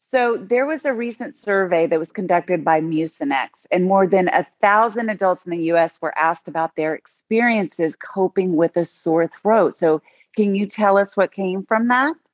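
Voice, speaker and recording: Using a plain, everyday voice, a woman at medium pitch talks with hardly any pauses. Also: lively intonation, moderate pace. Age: 50s. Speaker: talk show host. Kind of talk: interview chat.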